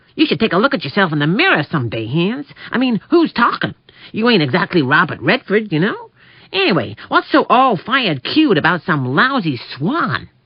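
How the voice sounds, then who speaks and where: A man puts on a character voice at a moderate pace. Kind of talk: casual, wisecracking. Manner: comic, sounding more like a fast-talking comedian.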